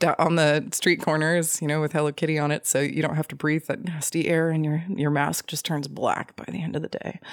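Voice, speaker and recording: A woman with an American accent speaks at a very deep, low pitch with fairly even intonation. Her fairly quick delivery has hardly any pauses, in a dry, close sound with no echo. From Tulsa, Oklahoma. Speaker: podcast host, ghost story podcaster. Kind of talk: casual chat.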